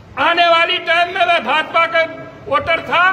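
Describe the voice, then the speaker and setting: Amid light background noise, a man with an extremely high pitch speaks very slowly in a raised, projected voice. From Uttar Pradesh, rural. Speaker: villager, farmer. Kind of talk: testimony; interview answer. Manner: halting. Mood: aggrieved, complaining. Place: hall.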